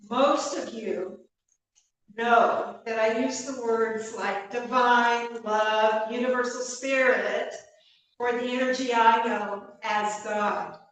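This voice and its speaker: In a room with audible echo, a woman with a fairly high pitch speaks at a very slow pace with fairly even intonation. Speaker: minister. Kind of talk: sermon. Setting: church.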